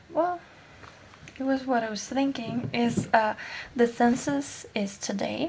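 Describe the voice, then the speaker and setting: A woman with a non-native accent and a high pitch speaks at a very slow pace, with long, frequent pauses and noticeable background noise. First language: not English. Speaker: vlogger. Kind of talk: casual vlog chat. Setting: at home. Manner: halting.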